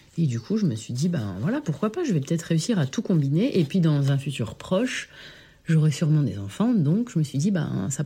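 Her very deep, low pitch and dark, mellow tone come through somewhat breathy, and the woman's intonation is lively. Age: 30s. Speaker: primary school teacher. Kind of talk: testimony.

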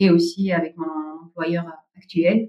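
A woman is speaking. Her tone is dark and mellow. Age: 40s. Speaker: family caregiver and nonprofit site manager. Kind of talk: interview testimony. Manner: hesitant, with frequent fillers.

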